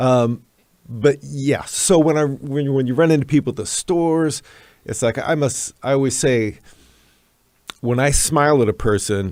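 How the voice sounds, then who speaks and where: A man's voice sits at a fairly high pitch with ordinary pitch variation. He keeps a moderate pace, broken by long, frequent pauses. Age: 60s. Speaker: longtime local figure. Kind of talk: interview. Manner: halting.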